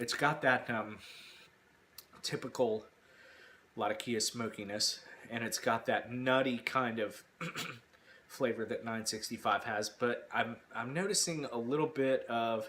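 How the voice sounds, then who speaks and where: Speaking at a fairly slow pace with long, frequent pauses, a man with a medium pitch and ordinary pitch variation is heard over noticeable background noise. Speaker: pipe tobacco reviewer. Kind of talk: casual talk to camera.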